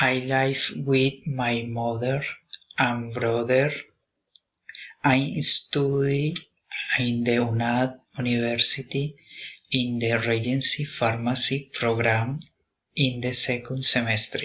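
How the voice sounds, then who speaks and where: A man at a medium pitch with a bright, sharp tone, fairly even intonation, a very slow pace and long, frequent pauses. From Colombia. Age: 30s. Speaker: language student. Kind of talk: student speaking assignment. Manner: halting.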